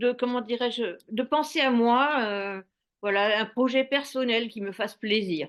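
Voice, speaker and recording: Against a quiet background, a woman speaks slowly at a fairly high pitch with ordinary pitch variation. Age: 60s. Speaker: retiree who opened a guesthouse. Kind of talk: testimony. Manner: halting.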